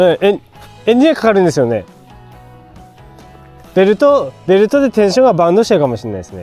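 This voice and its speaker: A man's high-pitched voice at a very fast pace, with very wide pitch swings, big swings in loudness and long, frequent pauses, over music in the background. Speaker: farm machinery repairman. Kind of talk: casual on-site talk while repairing.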